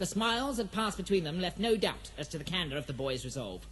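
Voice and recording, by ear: A high-pitched man at a fairly quick pace, with big pitch swings. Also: fairly bright tone.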